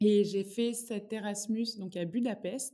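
Dark and mellow in tone, a woman's voice sits at a medium pitch. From Normandy, France (Rouen area). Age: 20s. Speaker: nonprofit regional manager. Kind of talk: interview conversation.

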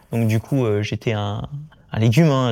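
A man speaks at a moderate pace in a fairly low pitch with a dark, mellow tone and ordinary pitch variation. The recording is very clean with a silent background, and the sound is dry and close with no echo. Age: 20s. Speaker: Paralympic swimmer. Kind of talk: casual interview.

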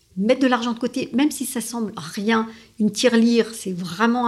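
On a very clean recording with a silent background, the voice shows vocal fry. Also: woman. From France and Italy. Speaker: lawyer and strategy consultant. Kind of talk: interview.

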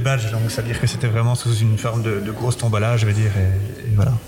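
Noticeable noise sits in the background. The words come out very fast. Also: man. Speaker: festival giant bearer. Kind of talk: interview. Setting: museum. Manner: halting.

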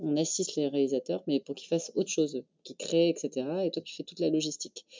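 Words come out at a fairly quick clip. The intonation remains fairly even throughout. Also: woman. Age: 40s. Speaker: film industry networking founder. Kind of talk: casual interview. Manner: halting.

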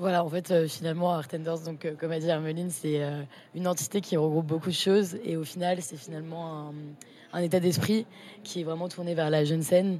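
A woman's dark, mellow voice, monotone and flat, at a fairly quick pace. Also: fairly low pitch for a woman. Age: 20s. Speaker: art student, association co-founder. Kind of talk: casual interview.

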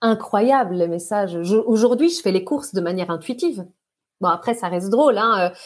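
Speaking in a normal speaking voice, a woman keeps to a medium pitch. She moves at a moderate pace with lively intonation. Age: 40s. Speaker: hydration and mindset coach. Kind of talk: podcast interview.

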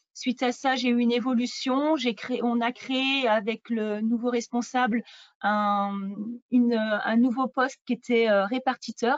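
This woman has a high pitch and talks at a fairly slow pace. Her intonation is fairly even and her loudness very even. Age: 40s. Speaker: real estate agent. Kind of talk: interview. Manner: hesitant, many fillers.

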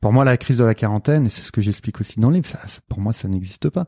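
A man's medium-pitched voice, dark and mellow in tone, with lively intonation and a dry, close sound with no echo. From western France, Nantes. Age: 40s. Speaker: mental coach. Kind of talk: interview conversation. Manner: hesitant, many fillers.

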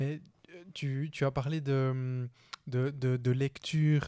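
A man speaks in a dark, mellow tone with fairly even intonation. The recording is very clean and dry, with a close sound, no echo and a silent background. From Switzerland. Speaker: podcast host. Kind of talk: interview conversation. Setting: borrowed company office.

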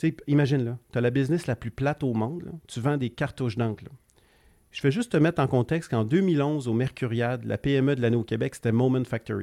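Recorded very cleanly against a silent background, with a dry, close sound and no echo, a man speaks in an ordinary speaking voice at medium pitch, fairly quick, with ordinary pitch variation. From Quebec, Gaspésie. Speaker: entrepreneur. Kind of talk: casual interview.

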